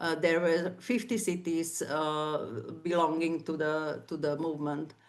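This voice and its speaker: With a Slovak accent, a woman speaks fairly slowly in a fairly low voice with ordinary pitch variation, and the room echo is audible. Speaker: civic activist. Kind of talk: conference talk. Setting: online event. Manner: halting, many fillers.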